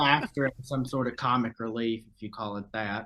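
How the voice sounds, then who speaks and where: Here a man speaks with a Southern US accent. His pitch is medium and his intonation fairly even. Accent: Southern drawl. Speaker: viral video subject. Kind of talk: casual interview, storytelling. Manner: casual, swearing, halting.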